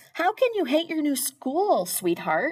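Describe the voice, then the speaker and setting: In a put-on character voice, a woman squeaks out high-pitched words at a fairly slow pace, her pitch swinging very widely. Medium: read story.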